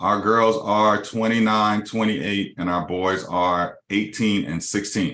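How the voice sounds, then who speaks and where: Bright, sharp tone at a fairly slow pace, with fairly even intonation and hardly any pauses. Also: man, fairly low pitch for a man. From Los Angeles, California. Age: 50s. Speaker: mortgage company CEO. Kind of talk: business webinar presentation.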